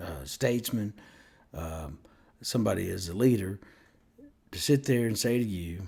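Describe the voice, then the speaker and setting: Speaking at a fairly slow pace, a man keeps his intonation lively. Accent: Southern US. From US South (Mississippi). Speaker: vlogger. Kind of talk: opinion rant to camera. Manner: animated.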